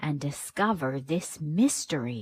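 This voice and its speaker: Growling in a put-on character voice, a female-sounding speaker talks at a low-to-middle pitch and a fairly slow pace. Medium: read story. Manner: authoritative.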